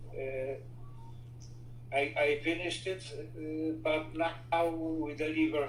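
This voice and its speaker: A man with a Polish accent speaks with fairly even intonation. Music plays in the background, and the room echo is audible. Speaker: inventor and entrepreneur. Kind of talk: interview. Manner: halting, with frequent fillers.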